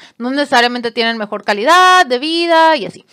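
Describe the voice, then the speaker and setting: A woman speaks with a bright, sharp tone and an animated delivery, her pitch swinging very widely, on a very clean recording with a silent background and a dry, close sound with no echo. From Mexico, Monterrey. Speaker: podcaster. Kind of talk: casual storytelling monologue.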